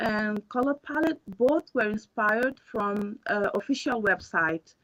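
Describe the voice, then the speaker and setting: A woman with lively intonation. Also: dry, close sound with no echo. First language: Portuguese and Creole. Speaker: student presenter. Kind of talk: pre-recorded project presentation. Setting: pre-recorded video.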